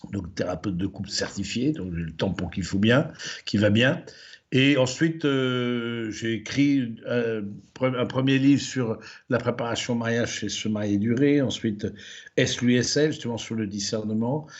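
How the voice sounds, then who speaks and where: In a room with audible echo, a man at medium pitch speaks at a fairly slow pace with ordinary pitch variation. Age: 60s. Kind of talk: lecture. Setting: livestreamed conference. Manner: hesitant, many fillers and repetitions.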